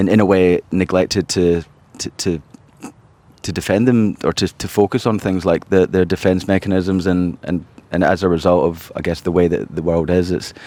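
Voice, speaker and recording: A man speaks with a very deep, low pitch. His tone is dark and mellow, his intonation fairly even. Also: moderate pace. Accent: Scottish. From Scotland, Glasgow. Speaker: charity founder and civil engineer. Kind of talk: podcast interview. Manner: halting, many repeated words.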